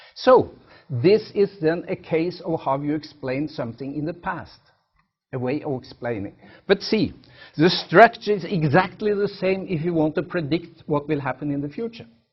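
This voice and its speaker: Speaking in a Norwegian accent, a man with a fairly high pitch keeps a moderate pace and lively intonation. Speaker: professor. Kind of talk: lecture. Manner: halting.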